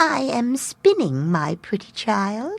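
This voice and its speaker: A woman speaks in a put-on character voice at medium pitch, taking a fairly slow pace. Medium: read story.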